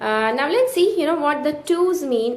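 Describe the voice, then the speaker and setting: A woman speaks at a moderate pace with lively intonation, with audible room echo. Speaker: tarot teacher. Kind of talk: tutorial. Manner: halting, many fillers.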